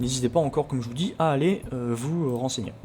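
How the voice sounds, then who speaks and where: Medium-pitched man's voice with noticeable background noise. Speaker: let's play video creator about hacking games. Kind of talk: let's play commentary with tutorial explanations. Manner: stumbling over words, many hesitations.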